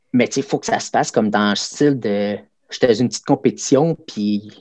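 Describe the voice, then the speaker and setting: A man speaks in a Quebec accent at a fairly quick pace. The sound is dry and close, with no echo. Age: 40s. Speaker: karate instructor. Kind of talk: casual interview.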